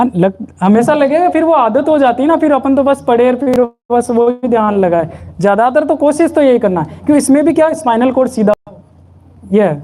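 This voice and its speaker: Noticeable background noise sits under a man's extremely high-pitched voice. His intonation is lively and his loudness stays very even. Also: moderate pace. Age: 30s. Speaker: spiritual satsang leader. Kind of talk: sermon.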